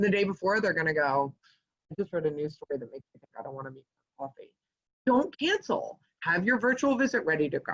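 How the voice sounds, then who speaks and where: A woman talks at a very fast pace in a medium pitch, her voice somewhat breathy, with very wide pitch swings and big swings in loudness. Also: dry, close sound with no echo. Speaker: fundraising consultant. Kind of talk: webinar presentation. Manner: animated.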